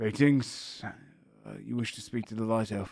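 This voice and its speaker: A gruff put-on character voice from a man at a medium pitch and a moderate pace. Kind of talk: formal, stiff greeting.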